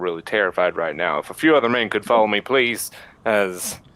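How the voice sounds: With lively intonation, a natural reading voice carries the text.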